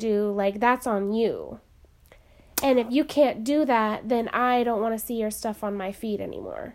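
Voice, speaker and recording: A woman with a plain, everyday voice, fairly high pitch, fairly even intonation and an American accent. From US, small town. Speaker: podcast co-host. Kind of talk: casual chat.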